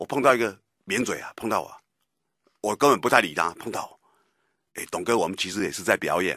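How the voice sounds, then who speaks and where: A man's bright, sharp voice, fairly low in pitch, at a fairly quick pace with long, frequent pauses, lively intonation and big swings in loudness, dry with no echo over a quiet background. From Taiwan. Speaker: radio political commentator. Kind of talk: talk radio commentary. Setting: radio studio. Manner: animated, emphatic. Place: studio.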